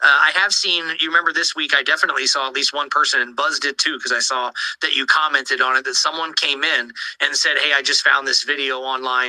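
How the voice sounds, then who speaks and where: Noticeable background noise sits behind a man speaking at a fairly high pitch. He talks at a very fast pace. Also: fairly even intonation. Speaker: crypto community spaces host. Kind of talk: casual chat.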